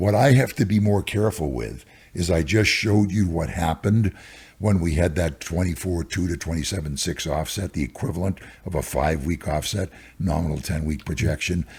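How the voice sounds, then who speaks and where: Vocal fry runs through a voice that moves at a fairly quick pace with lively intonation. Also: man, very deep, low pitch for a man, very clean recording, silent background. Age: 80s+. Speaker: stock market cycles analyst. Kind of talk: interview.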